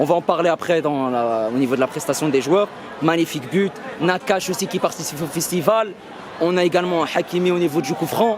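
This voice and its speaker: A man speaks in a high-pitched voice with ordinary pitch variation. There is noticeable background noise. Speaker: football YouTuber. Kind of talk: match debrief vlog. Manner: hesitant, many fillers.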